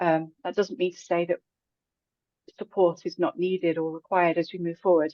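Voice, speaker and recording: Dark and mellow in tone, a woman's fairly low voice stays monotone and flat. She keeps a moderate pace, broken by long, frequent pauses. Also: dry, close sound with no echo. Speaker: education executive. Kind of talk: panel discussion.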